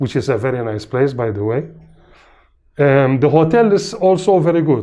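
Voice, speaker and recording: A man with a Maltese accent against a quiet background. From Malta. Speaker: patient. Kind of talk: testimonial interview. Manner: hesitant, many fillers.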